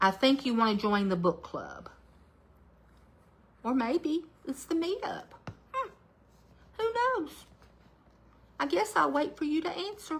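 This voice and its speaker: Speaking fairly slowly with long, frequent pauses, a woman uses an animated tone, a high pitch and very wide pitch swings over noticeable background noise. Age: 60s. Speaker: craft livestreamer. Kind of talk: live craft stream chat. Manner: chatty, animated.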